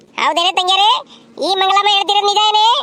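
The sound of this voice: A cartoonish character voice from a woman, extremely high in pitch, fairly even in intonation, at a fairly quick pace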